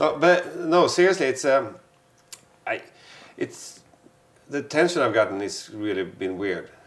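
A man with a Swedish accent speaks at a fairly slow pace and a fairly high pitch, with vocal fry. His pitch swings very widely, and he takes long, frequent pauses. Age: 40s. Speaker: photographer. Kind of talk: casual chat.

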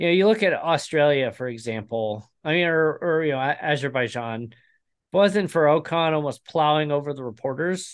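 At a moderate pace, a man uses a normal speaking voice, fairly high in pitch, with lively intonation. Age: 30s. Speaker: motorsport podcast host. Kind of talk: casual chat.

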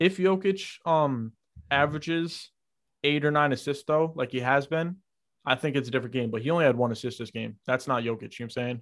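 Speaking at a very fast pace with an American accent, a man with a fairly high pitch comes through on a very clean recording with a silent background. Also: ordinary pitch variation. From New York. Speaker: podcast co-host. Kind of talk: casual chat.

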